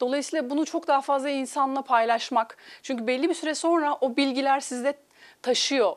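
Against a quiet background, a woman with a high pitch speaks at a moderate pace with fairly even intonation. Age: 40s. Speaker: life coach. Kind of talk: TV interview. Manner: hesitant, many filler sounds. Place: studio.

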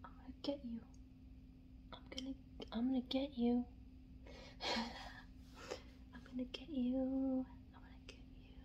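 A soft-spoken woman whispers in a playful tone at a moderate pace, with big swings in loudness, long, frequent pauses, and light background noise. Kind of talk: soft playful roleplay talk to the viewer. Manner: playful teasing soft whisper. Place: home room.

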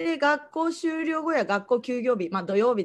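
Here is a woman's voice. Her pitch swings very widely. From Japan, Kagoshima (Kanoya); Japan. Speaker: after-school day service judo instructor. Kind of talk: online presentation. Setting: online livestream talk. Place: home room. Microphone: video call.

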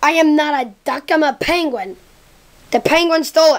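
Someone speaks in a cartoonish character voice at a high pitch. The pace is moderate. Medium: puppet show. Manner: indignant, correcting.

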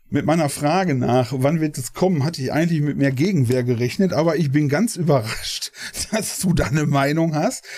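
Amid noticeable background noise, a man with a fairly high pitch speaks at a moderate pace with ordinary pitch variation. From Ruhr area, Germany. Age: 40s. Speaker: gaming streamer. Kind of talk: casual interview.

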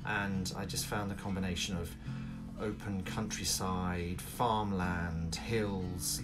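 As clear music sounds behind him, a man talks. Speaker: vlogger renovating a cottage. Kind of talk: casual vlog chat. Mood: friendly, smiling. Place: home room. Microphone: phone near.

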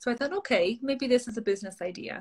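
A woman with an Irish accent talks at a fairly quick pace in a somewhat breathy voice. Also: quiet background. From Ireland. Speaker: social media coach. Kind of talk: interview. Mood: friendly, upbeat. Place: home room. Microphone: video call.

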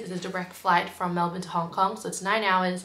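A woman speaks at a fairly quick pace, with light background noise and audible room echo. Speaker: travel vlogger. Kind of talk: casual vlog chat. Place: home room. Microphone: phone near.

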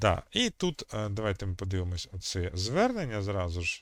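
The pace is moderate and the pitch variation ordinary. It is an ordinary speaking voice. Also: man. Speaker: history video chat blogger. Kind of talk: video chat debate and history explanation. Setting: video call.

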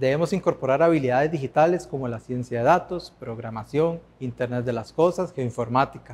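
A man at a fairly quick pace, with hardly any pauses and ordinary pitch variation. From Costa Rica. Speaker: former master's student. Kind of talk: testimonial. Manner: formal. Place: hall. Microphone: lapel.

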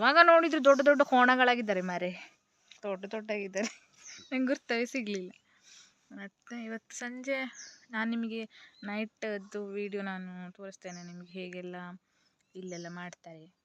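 A plain, everyday voice from a woman at medium pitch, with lively intonation and a dry, close sound with no echo. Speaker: vlogger. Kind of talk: casual vlog narration.

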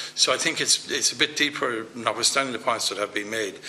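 With an Irish accent, a man in a medium pitch talks at a very fast pace with fairly even intonation over light background noise. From Ireland. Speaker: politician. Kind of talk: committee hearing. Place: meeting room. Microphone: podium.

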